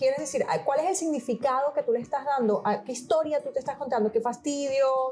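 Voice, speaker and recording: Against noticeable background noise, a woman talks at a fairly quick pace with a high pitch and ordinary pitch variation. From Venezuela, Portuguese parents. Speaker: coach. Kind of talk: interview conversation.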